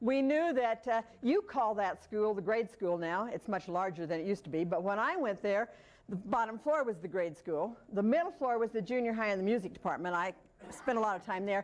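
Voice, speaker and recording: An ordinary speaking voice belonging to a woman with an American accent moves at a fairly quick pace, fairly high in pitch and with lively intonation. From Colorado, Manitou Springs. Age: 60s. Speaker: local author. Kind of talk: talk to an audience.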